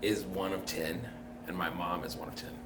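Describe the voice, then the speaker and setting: A man with an American accent speaks amid audible room echo and noticeable background noise. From Tacoma, Washington, US. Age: 30s. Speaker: podcast guest. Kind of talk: interview.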